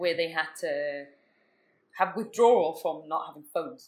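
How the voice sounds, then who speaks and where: This woman speaks at a moderate pace. Her intonation is lively. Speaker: podcast co-host. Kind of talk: casual chat over drinks. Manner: soft-spoken, hard to hear.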